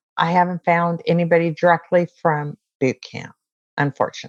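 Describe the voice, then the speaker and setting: An ordinary speaking voice with an American accent talks at a moderate pace with fairly even intonation. The background is quiet. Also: woman. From US West Coast (San Diego, California). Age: 60s. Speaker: Navy veteran. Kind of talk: interview.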